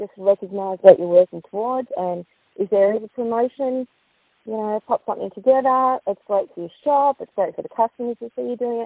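Speaking with an Australian accent, a woman with a fairly high pitch moves at a fairly quick pace with ordinary pitch variation. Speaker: post office licensee. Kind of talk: recorded interview. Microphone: crackly phone line.

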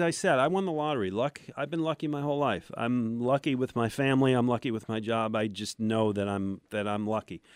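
With an American accent and an ordinary speaking voice, a man talks at a fairly quick pace with hardly any pauses, medium pitch and lively intonation, in a dry, close sound with no echo. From Buffalo, New York. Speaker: sports radio host and former newspaper reporter. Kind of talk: casual interview storytelling.

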